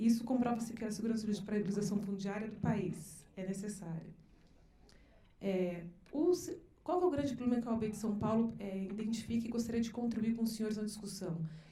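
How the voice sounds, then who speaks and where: A woman speaks at a very fast pace with a fairly high pitch. Audible room echo surrounds her voice. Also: ordinary pitch variation. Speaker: lawyer, seminar panelist. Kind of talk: seminar presentation. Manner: halting, many false starts.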